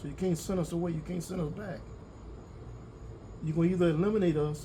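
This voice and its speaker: The speaker talks at a fairly quick pace with a dark, mellow tone and fairly even intonation. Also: man. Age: 60s. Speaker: farmer. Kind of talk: interview. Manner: halting, repetitive.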